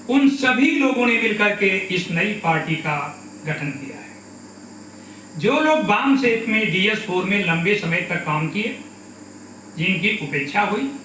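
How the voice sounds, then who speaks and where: A man with a high pitch raises and projects his voice, swinging his pitch very widely. Room echo is audible, along with noticeable background noise. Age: 60s. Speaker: politician, party president. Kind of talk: political address. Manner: formal.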